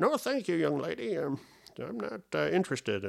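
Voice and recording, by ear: Using a put-on character voice, the man pitches it fairly high. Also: moderate pace.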